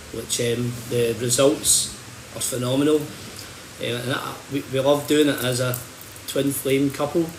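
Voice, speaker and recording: A man speaks at a medium pitch and a fairly slow pace, his intonation flat and monotone. Long, frequent pauses break up his speech, with audible room echo and noticeable background noise. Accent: Scottish. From Scotland, Hamilton. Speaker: holistic bodyworker and healer. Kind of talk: livestream talk. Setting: social media livestream. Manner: halting, repeats words.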